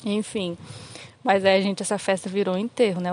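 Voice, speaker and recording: At a fairly quick pace, a woman speaks in a monotone, flat intonation. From Brazil, Federal District (Recanto das Emas). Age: 20s. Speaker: visual artist. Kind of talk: casual chat.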